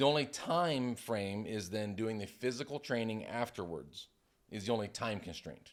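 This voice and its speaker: A man with an American accent speaks at a fairly slow pace, medium in pitch, with lively intonation, in a very clean recording with a silent background. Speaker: retired firefighter and CPR instructor. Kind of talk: casual interview. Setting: studio.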